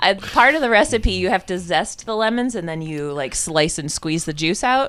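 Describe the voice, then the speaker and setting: On a very clean recording with a silent background, a woman talks at a moderate pace in a Michigan accent. Her voice is medium in pitch and swings very widely up and down. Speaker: podcast co-host. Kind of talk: casual chat.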